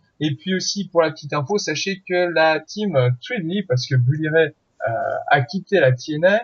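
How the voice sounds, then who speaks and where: Here is a man with an ordinary speaking voice. His pitch is fairly high, with ordinary pitch variation. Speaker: podcast host. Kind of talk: podcast outro and announcements.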